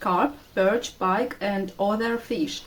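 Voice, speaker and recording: A Russian accent marks this woman's speech. She talks very slowly. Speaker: vlogger. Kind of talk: walking tour vlog. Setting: outdoors. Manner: halting.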